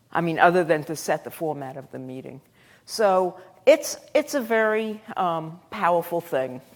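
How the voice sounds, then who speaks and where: Lively in intonation, a woman with a Brooklyn accent speaks at a moderate pace with big swings in loudness, captured on a very clean recording with a silent background. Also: fairly low pitch for a woman. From Brooklyn, New York. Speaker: professor. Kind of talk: lecture. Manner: halting, many fillers.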